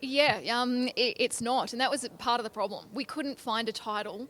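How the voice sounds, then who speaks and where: Here a woman speaks in an Australian accent. Her pitch is high, with ordinary variation. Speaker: country singer-songwriter. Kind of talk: interview. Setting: industry convention in Nashville.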